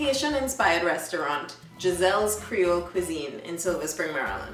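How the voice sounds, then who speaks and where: Over music in the background, a voice with an upbeat tone and lively intonation moves at a moderate pace, with audible room echo. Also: woman. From Trinidad and Tobago. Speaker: events vlogger. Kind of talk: event listings presentation.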